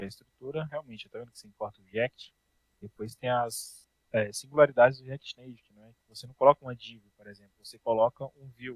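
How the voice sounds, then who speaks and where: A man of medium pitch talks at a fairly quick pace with fairly even intonation and big swings in loudness, in a dry, close sound with no echo. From Brazil, Brasília. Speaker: programming teacher. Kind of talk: online class. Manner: casual.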